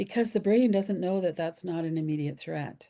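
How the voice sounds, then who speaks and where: A woman speaks with lively intonation at a fairly quick pace. Her tone is dark and mellow, and the background is quiet. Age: 70s. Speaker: somatic trauma healing teacher. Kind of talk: podcast interview.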